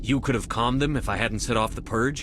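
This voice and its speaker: Over loud background noise, a man does a put-on character voice at medium pitch and a very fast pace. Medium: video game. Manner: firm, direct.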